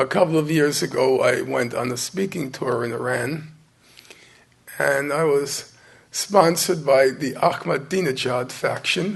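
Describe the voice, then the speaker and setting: A man's hoarse, put-on character voice, fairly high in pitch, at a moderate pace. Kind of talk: conversational storytelling.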